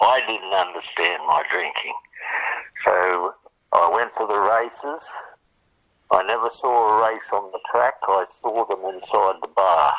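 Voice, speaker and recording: An Australian accent with a bright, sharp tone, at a fairly slow pace with ordinary pitch variation. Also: man. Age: 80s+. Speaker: recovering alcoholic sharing story. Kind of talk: testimony. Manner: halting.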